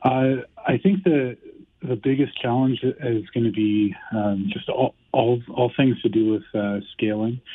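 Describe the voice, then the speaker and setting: A man with a plain, everyday voice speaks at a fairly slow pace with a medium pitch and ordinary pitch variation. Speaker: tech company CEO. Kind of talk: interview.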